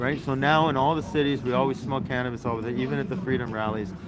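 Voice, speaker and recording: A man speaks at a medium pitch with lively intonation. Audible room echo and noticeable background noise surround his voice. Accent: Canadian. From Canada. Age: 60s. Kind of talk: casual street interview livestream. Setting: outdoors at a rally. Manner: halting, many repetitions.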